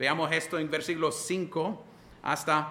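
A man's fairly high voice in a monotone, flat intonation, with audible room echo. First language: English (speaking Spanish). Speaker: pastor. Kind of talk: sermon.

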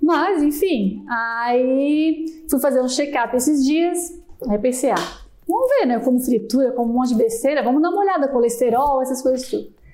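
Amid audible room echo, a woman speaks at a moderate pace in a high pitch, with ordinary pitch variation and very even loudness. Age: 30s. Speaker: customer support staff. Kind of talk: casual chat.

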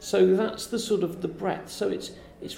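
A woman speaks at a moderate pace and medium pitch in a dark, mellow tone with vocal fry. Her pitch variation is ordinary, and room echo is audible. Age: 50s. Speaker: science park director. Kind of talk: interview. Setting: festival event.

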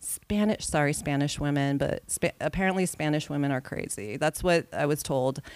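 Speaking with an American accent in a normal speaking voice, the speaker keeps a moderate pace and ordinary pitch variation in a very clean recording with a silent background. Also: woman. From California. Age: 40s. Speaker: TV editor. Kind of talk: casual chat.

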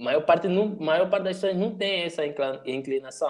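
Moderate pace and ordinary pitch variation. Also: man. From Angola. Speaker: youtuber and digital strategist. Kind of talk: casual chat.

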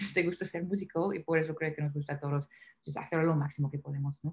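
A woman speaks. Her intonation stays fairly even. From US South, Nashville. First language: English (speaking Spanish). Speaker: singer. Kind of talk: interview.

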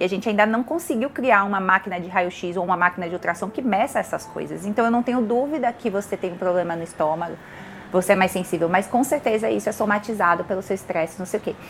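Very fast speech with ordinary pitch variation over background music. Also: woman, medium pitch for a woman. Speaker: chemical engineer and visual artist. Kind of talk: casual interview chat. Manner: animated.

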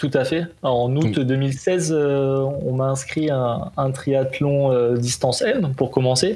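A medium-pitched man speaks at a very slow pace with hardly any pauses. His intonation is fairly even, and his loudness is very even. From southern France, Golfe-Juan. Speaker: triathlete. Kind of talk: interview. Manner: casual, hesitant with fillers.

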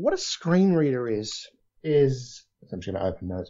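This man's voice is somewhat breathy and moves through very wide pitch swings. He speaks at a fairly slow pace. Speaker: voiceover artist. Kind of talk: casual interview chat. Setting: video call.

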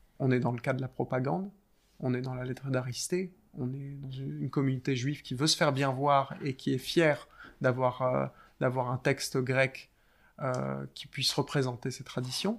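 The recording is very clean, with a silent background. A man speaks at a medium pitch and a moderate pace, with fairly even intonation and long, frequent pauses. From France. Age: 20s. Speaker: doctoral researcher in philology. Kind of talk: interview conversation. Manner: halting, with frequent hesitations.

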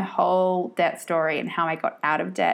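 A woman with an Australian accent on a very clean recording with a silent background. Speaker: podcast host and money coach. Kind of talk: casual monologue. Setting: solo podcast recording.

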